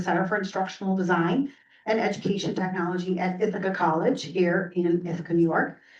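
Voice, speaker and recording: A woman's voice with noticeable background noise. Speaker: education technology director and former professor. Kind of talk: presentation at a board meeting. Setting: board meeting room with microphone. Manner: hesitant, many fillers.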